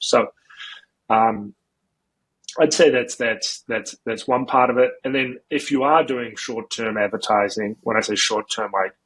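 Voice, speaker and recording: A man with a New Zealand accent talks at a moderate pace with fairly even intonation, in a dry, close sound with no echo. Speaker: marketing agency founder. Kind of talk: podcast interview. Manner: casual, many fillers and repetitions.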